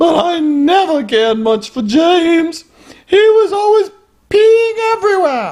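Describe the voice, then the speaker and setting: Squeaky and extremely high, the voice is a put-on character voice. Its delivery is fairly slow. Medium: comedy sketch. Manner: genteel, aggrieved.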